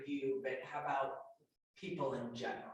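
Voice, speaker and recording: A woman with a very deep, low pitch speaks at a fairly quick pace. Her voice is somewhat breathy, and there is audible room echo. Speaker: event moderator. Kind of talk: panel moderation. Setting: room with audience and Zoom stream.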